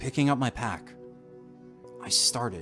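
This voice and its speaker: A man is speaking. Music plays in the background. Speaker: narrator and channel host. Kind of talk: dramatic horror reading of a classic short story. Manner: atmospheric, dramatic.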